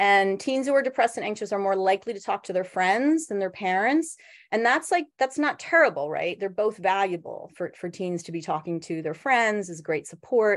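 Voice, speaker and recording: Against a quiet background, a woman at medium pitch speaks with very wide pitch swings and hardly any pauses. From Philadelphia, US Northeast. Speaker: social worker. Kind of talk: workshop presentation. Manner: fast; casual, many fillers.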